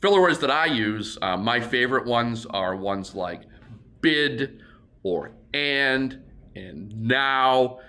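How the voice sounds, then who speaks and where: Audible room echo surrounds a man speaking at a very slow pace. His medium-pitched voice is bright and sharp, with lively intonation. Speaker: auctioneer. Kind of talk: tutorial. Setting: warehouse.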